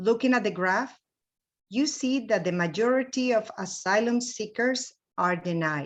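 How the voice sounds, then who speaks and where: A woman with a Spanish accent talks at a moderate pace, her fairly high voice lively in intonation, over a quiet background. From Mexico, Veracruz. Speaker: mission trip volunteer. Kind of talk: slide presentation.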